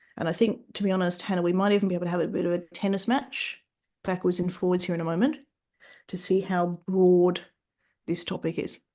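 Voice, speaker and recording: A woman with an Australian accent speaks at a fairly quick pace in a dark, mellow tone. The background is quiet. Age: 40s. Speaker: fitness business mentor and author. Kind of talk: podcast interview.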